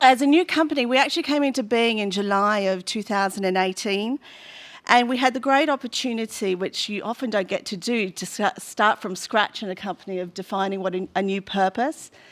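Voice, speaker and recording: Over a very clean, silent background, a woman with a fairly high pitch and an Australian accent talks at a fairly quick pace with ordinary pitch variation. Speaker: food company representative. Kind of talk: panel presentation.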